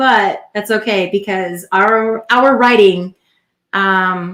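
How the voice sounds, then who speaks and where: Speaking very slowly, a woman keeps her medium-pitched voice in fairly even intonation. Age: 40s. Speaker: podcast co-host, military veteran. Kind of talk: casual chat.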